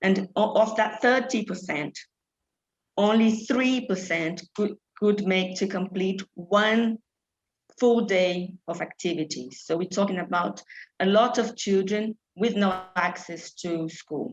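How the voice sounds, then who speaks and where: Somewhat breathy and at a very slow pace, a woman speaks at a medium pitch with ordinary pitch variation in a Brazilian Portuguese accent. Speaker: charity programme director. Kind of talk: panel talk. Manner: halting.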